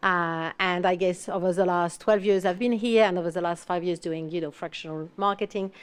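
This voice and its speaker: A woman's fairly low voice with a non-native accent, fairly quick with hardly any pauses and fairly even intonation, over a quiet background. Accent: foreign. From France. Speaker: fractional marketing executive. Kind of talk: panel discussion.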